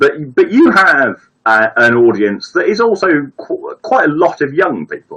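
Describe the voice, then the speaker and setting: A man with a Brummie accent. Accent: mild Brummie, fairly well spoken. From Birmingham, England. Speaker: viewer giving advice on a live stream. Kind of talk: casual chat. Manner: halting, many repetitions. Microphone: bad setup.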